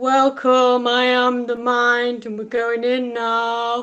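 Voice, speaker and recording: A woman speaks in a Cornish accent. Her tone is bright and sharp. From Cornwall, England. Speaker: stand-up comedian. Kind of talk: stand-up.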